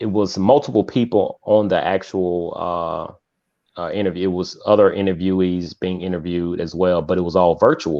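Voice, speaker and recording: Here a man's voice sits very deep and low. He keeps a moderate pace and fairly even intonation. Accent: American. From US South, Mississippi. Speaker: author and youth mentor. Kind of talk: interview.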